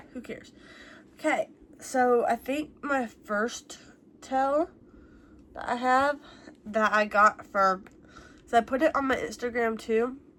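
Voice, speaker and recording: A woman's high-pitched voice at a fairly slow pace, broken by long, frequent pauses. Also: ordinary pitch variation. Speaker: YouTuber answering viewer questions. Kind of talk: casual Q&A vlog. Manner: casual, many fillers.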